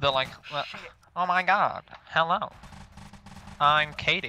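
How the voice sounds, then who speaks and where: Over sound effects, a man puts on a nasal character voice with an American accent, fairly high in pitch and fairly slow in pace. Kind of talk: nerdy, gushing.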